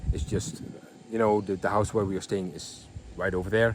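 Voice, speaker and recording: A fairly low-voiced man with a Dutch accent. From Netherlands. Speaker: vlogger. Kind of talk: casual vlog. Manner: halting, many fillers.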